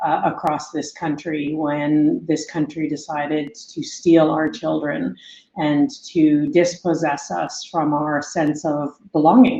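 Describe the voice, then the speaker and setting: In a Canadian accent, a woman speaks very slowly with a very deep, low pitch and a dark, mellow tone. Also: ordinary pitch variation. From northern British Columbia, Kitimat. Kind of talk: interview. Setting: podcast. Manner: hesitant with fillers.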